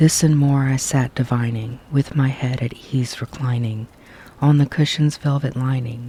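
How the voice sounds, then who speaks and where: A soft-spoken man talks at a fairly slow pace with a medium pitch. His intonation stays flat and monotone. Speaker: storyteller. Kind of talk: ASMR poetry reading. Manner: quiet, soft-spoken.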